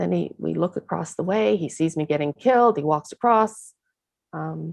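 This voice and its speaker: Heard as a dry, close sound with no echo, the voice moves at a moderate pace with a Chicago accent. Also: woman. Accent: American (Chicago). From US, Chicago. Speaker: actress. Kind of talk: casual chat.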